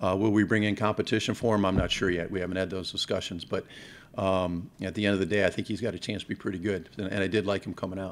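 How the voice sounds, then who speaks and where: A man with an American accent talks very fast in a fairly low, monotone voice with flat intonation. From Ohio, Cleveland area; Ohio. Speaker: football coach. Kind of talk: press conference. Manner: halting, with frequent repeated words. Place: hall. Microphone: podium.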